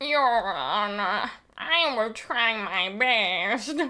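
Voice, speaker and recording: The delivery crawls along very slowly. The voice is a put-on character voice. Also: female-sounding voice, fairly high pitch for a woman. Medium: game stream. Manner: formal, measured.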